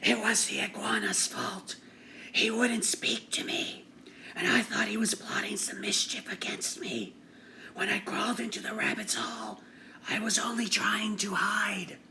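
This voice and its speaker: Whispering in a raspy, put-on character voice, a man speaks at a moderate pace. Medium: read story. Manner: defensive.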